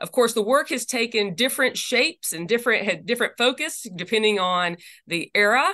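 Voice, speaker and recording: With a slight Southern US accent, a woman speaks fairly quickly in a fairly high pitch, with lively intonation and a bright, sharp tone. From US South. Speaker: lawyer and religious freedom advocate. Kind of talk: interview. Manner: halting, many fillers.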